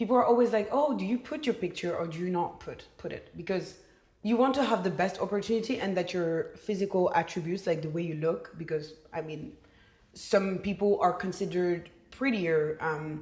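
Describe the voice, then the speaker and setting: Somewhat breathy and medium in pitch, a woman speaks at a moderate pace with lively intonation in a Belgian French accent. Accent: Belgian French accent when speaking French. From Belgium. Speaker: podcast guest. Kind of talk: casual chat.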